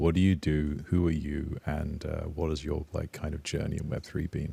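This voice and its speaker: Calm and dark, mellow in tone, a man with a very deep, low pitch speaks somewhat breathily at a moderate pace. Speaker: podcast host. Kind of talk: podcast interview. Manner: calm-sounding.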